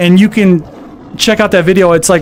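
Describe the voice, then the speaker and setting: Noticeable background noise surrounds a man talking at moderate speed, his pitch varying in an ordinary way. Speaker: gaming streamer. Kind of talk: live stream chat.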